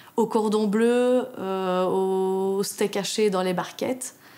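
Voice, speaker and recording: A woman speaks in a medium pitch. Her intonation is fairly even. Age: 30s. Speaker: union delegate, factory worker. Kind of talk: interview testimony.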